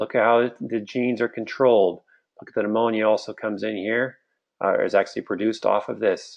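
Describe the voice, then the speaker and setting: Here is a man with an unremarkable speaking voice at medium pitch. He goes at a fairly quick pace, his intonation fairly even. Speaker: doctor giving a health webinar. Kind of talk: webinar lecture. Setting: recorded live webinar.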